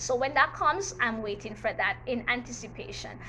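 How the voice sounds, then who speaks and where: A woman with a Jamaican accent, high-pitched and animated in tone, at a moderate pace with ordinary pitch variation. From Jamaica, Manchester parish. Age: 40s. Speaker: teacher and YouTuber. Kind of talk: storytime vlog, personal testimony. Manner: animated, emphatic.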